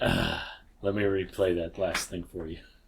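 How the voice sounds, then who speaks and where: Putting on a character voice, a man speaks very deep and low in a flat monotone at a moderate pace. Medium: actual play. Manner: menacing.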